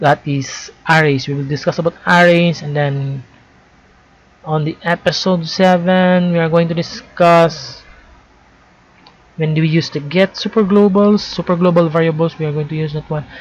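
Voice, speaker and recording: Intonation stays fairly even at a moderate pace. The speaker has a non-native accent. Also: woman, fairly low pitch for a woman. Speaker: programming tutorial creator. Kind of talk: tutorial. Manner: halting, with self-corrections.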